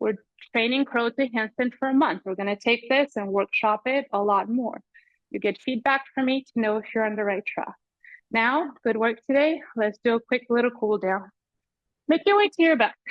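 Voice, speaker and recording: With a non-native accent, a woman of fairly high pitch speaks at a moderate pace with ordinary pitch variation. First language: not English. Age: 40s. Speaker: yoga teacher. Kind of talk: live online yoga class instruction. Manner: animated.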